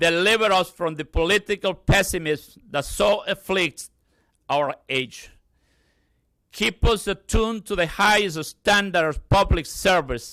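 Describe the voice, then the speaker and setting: A man with a Spanish accent, high-pitched, bright and sharp, in a raised, projected voice at a fairly slow pace with ordinary pitch variation, on a very clean recording with a silent background. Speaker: pastor. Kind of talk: prayer invocation. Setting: ceremony with audience. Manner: halting.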